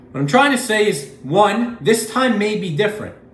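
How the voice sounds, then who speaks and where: A man's pitch swings very widely at a moderate pace. There is audible room echo. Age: 20s. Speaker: finance video creator. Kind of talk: solo commentary video.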